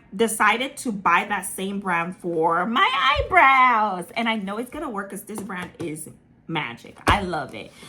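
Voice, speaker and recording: Here a woman speaks with an American accent at a medium pitch. Her intonation is lively and her pace moderate. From Ghana, raised partly in Italy and London. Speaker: lifestyle vlogger. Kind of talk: casual vlog talk. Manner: chatty, many fillers.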